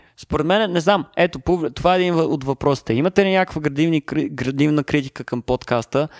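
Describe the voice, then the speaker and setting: A man speaks at a fairly quick pace in a normal speaking voice, his pitch fairly high with ordinary variation. The recording is very clean with a silent background and a dry, close sound with no echo. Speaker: podcast co-host. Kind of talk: casual chat. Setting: apartment with echo.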